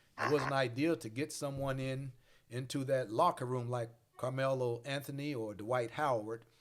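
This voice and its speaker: A man talks with a Mississippi accent at a moderate pace. His pitch is medium and varies in an ordinary way. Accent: Southern US (Mississippi). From US South, Mississippi Delta. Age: 60s. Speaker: pastor and podcast host. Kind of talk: casual discussion.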